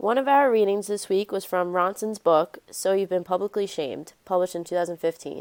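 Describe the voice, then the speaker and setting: A woman speaks in a plain, everyday voice at a medium pitch with ordinary pitch variation. Her pace is fairly quick, and the recording is very clean with a silent background. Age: 20s. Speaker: student podcast host. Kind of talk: student podcast discussion.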